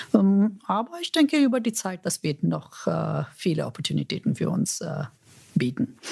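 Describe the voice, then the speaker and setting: This woman talks at a fairly slow pace with a non-native accent. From India. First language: not German (speaking German). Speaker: corporate executive. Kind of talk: interview. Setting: office. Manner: halting, with fillers.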